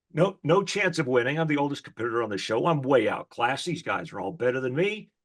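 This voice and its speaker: With an American accent, the speaker races along at a very fast pace, lively in intonation and animated in tone, over a quiet background. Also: man, fairly high pitch for a man. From Texas. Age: 60s. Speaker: motivational speaker. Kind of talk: interview. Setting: radio show.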